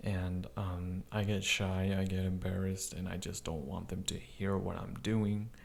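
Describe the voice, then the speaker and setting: A man speaks quietly. Room echo can be heard. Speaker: YouTube movie reviewer. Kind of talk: movie review. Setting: home recording with neighbor next door. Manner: lowered, quiet voice.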